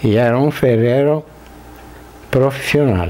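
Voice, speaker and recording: Against noticeable background noise, a man talks at medium pitch with ordinary pitch variation. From southern Brazil, Rio Grande do Sul (Italian-descended rural area). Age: 70s. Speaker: interviewee, blacksmith's son. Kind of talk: interview, oral history. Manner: halting.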